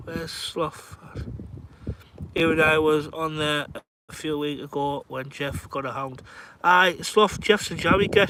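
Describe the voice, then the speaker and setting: Speaking at a fairly slow pace in a Cumbrian accent, a man with a fairly high pitch keeps a fairly even intonation and leaves long, frequent pauses. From northern England, Carlisle. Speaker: fishing livestreamer. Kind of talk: casual chat. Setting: outdoors.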